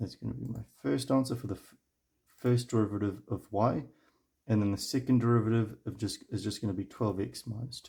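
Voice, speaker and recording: The voice has vocal fry and ordinary pitch variation. It moves at a fairly quick pace. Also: man, medium pitch for a man. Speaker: math tutor. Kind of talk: tutorial.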